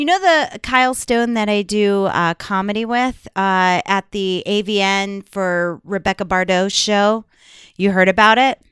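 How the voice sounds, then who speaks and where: A woman in an ordinary speaking voice, medium pitch with ordinary pitch variation, at a fairly slow pace, on a very clean recording with a silent background and a dry, close sound with no echo. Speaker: podcast host, adult film performer. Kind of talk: casual banter chat.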